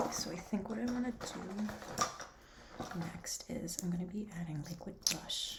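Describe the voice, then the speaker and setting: Noticeable background noise surrounds a whispering voice that keeps a moderate pace. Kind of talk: ASMR makeup roleplay. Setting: close-up laptop microphone. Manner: whispered.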